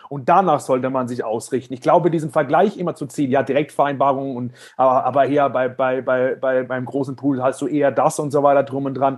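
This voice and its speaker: At a fairly quick pace with hardly any pauses, a man speaks at a fairly high pitch and with fairly even intonation. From Germany. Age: 30s. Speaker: financial services entrepreneur. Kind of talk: interview. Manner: halting, many repetitions and fillers.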